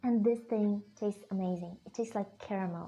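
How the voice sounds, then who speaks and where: A woman with a Russian accent speaks with fairly even intonation while music plays in the background. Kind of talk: casual talk to camera.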